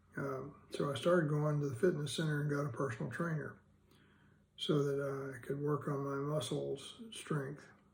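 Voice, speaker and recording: In a room with audible echo, a man speaks at a moderate pace in a fairly high, somewhat breathy voice with flat, monotone intonation. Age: 70s. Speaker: vlogger with Parkinson's disease. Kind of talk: personal video diary. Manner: hesitant, many fillers.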